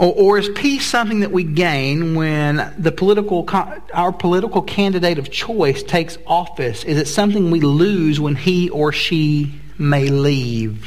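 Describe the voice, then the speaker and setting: The speaker has an American accent and talks at a fairly slow pace. Noticeable background noise and audible room echo fill the recording. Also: man, high pitch for a man, ordinary pitch variation, hardly any pauses. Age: 40s. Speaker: pastor. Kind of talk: sermon. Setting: church.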